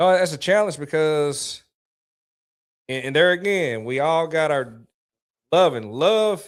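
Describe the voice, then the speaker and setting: Lively intonation broken up by long, frequent pauses. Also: man, fairly high pitch for a man. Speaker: podcast host. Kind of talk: casual chat. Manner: fast.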